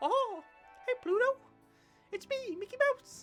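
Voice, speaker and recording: An extremely high, put-on character voice speaks at a fairly slow pace while faint music plays in the background. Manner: cheerful.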